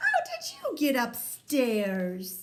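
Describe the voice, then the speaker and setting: A woman's high-pitched, put-on character voice with very wide pitch swings. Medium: read story.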